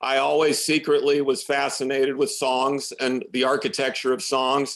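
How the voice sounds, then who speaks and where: Over a quiet background, the speaker keeps a moderate pace and very even loudness, with a monotone, flat intonation and an American accent. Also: man, fairly high pitch for a man. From US Midwest, Champaign, Illinois. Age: 50s. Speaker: musician. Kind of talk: interview.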